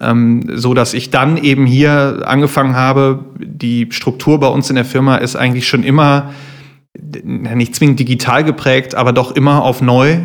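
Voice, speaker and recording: At a moderate pace, a man speaks in a flat monotone at a medium pitch. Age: 30s. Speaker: fashion retailer, business owner. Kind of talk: interview.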